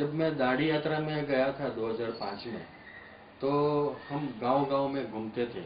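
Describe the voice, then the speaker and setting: A man's fairly high-pitched voice with fairly even intonation and audible room echo. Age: 60s. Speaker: space agency employee and Gandhian activist. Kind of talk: documentary interview.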